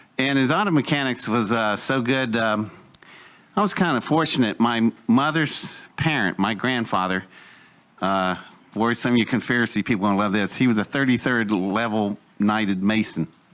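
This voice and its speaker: A man with an Appalachian accent talks at a moderate pace and medium pitch, with ordinary pitch variation and very even loudness. The recording is very clean over a silent background. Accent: Appalachian American. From West Virginia, Welch coalfields. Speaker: speaker telling his life story. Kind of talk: personal testimony talk. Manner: casual, hesitant with fillers.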